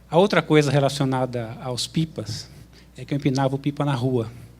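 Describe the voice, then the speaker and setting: Speaking at a fairly slow pace, a man has a medium pitch, a somewhat breathy sound and fairly even intonation. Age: 50s. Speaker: graduate student, audience questioner. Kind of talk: audience question with personal anecdote.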